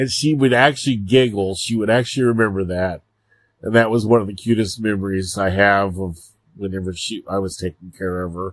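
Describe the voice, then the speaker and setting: A man's fairly low, normal speaking voice at a fairly quick pace, with ordinary pitch variation and a very clean recording with a silent background. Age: 50s. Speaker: podcast host. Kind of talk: casual monologue.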